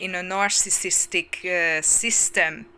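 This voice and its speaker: A woman speaks at a very slow pace. Background noise is noticeable throughout. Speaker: spiritual coach. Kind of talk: channeled spiritual talk. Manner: loud, shouting; halting, with fillers.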